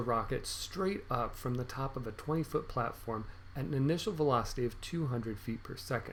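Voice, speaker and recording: There is audible room echo around a man's voice. He speaks at a medium pitch and sounds somewhat breathy. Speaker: math teacher. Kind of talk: video lesson tutorial. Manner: upbeat, encouraging; fast.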